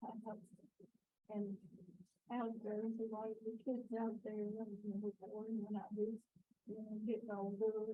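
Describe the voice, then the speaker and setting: A woman with an American accent, fairly high in pitch, in a monotone, flat intonation. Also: fairly slow pace. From central Texas. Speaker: survivor. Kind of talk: personal testimony at a memorial. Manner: halting, with many fillers.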